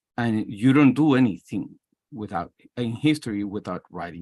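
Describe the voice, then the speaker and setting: A man with a Spanish accent at medium pitch, fairly slow, with lively intonation, dry close sound without echo, and a quiet background. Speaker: history professor. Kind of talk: self-introduction in a workshop. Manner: halting.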